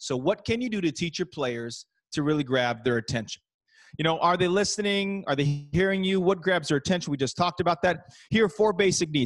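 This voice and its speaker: A man's high voice at a fairly quick pace, lively in intonation, dry and close with no echo, music playing behind. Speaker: basketball coach and speaker. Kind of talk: presentation to coaches. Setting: video call. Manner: fast; animated.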